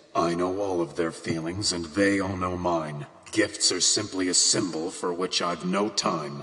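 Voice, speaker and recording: Doing a put-on character voice, a man speaks at a very deep, low pitch and a moderate pace with hardly any pauses over light background noise. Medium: audio drama. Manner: terse, guarded.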